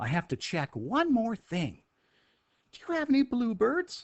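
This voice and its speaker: A put-on character voice at a fairly high pitch swings very widely up and down at a moderate pace. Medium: read story.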